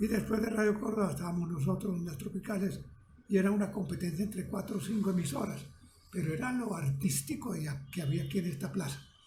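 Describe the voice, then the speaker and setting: Speech rushes by at a very fast pace. Noticeable background noise and audible room echo surround it. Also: man, high pitch for a man, ordinary pitch variation. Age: 90s. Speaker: retired radio producer. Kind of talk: interview.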